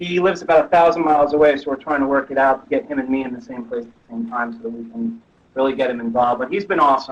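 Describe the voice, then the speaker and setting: This man's pitch sits at a medium level while he talks very fast. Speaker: metal musician. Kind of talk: interview. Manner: loud; animated. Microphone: sensitive laptop microphone.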